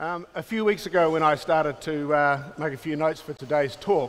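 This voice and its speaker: Fairly quick, fairly even speech with a New Zealand accent. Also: man. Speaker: film and television producer, company founder. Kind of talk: keynote talk. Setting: conference stage with audience.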